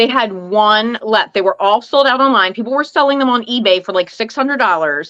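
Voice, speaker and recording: A woman, loud, bright and sharp in tone, at a fairly high pitch, fairly quick with hardly any pauses and lively intonation. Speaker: live stream host, fragrance collector. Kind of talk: casual chat.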